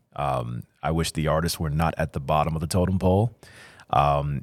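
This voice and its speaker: On a very clean recording with a silent background, a man with an American accent speaks in a very deep, low pitch with vocal fry. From Chicago. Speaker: fine artist. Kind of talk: casual interview. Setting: studio.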